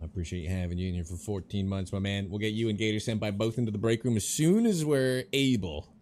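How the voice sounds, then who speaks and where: Speaking at a very fast pace with hardly any pauses, a man with a fairly low pitch keeps an animated tone over noticeable background noise. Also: ordinary pitch variation. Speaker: gaming streamer. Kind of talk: live gameplay commentary. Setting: live stream. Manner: casual, animated.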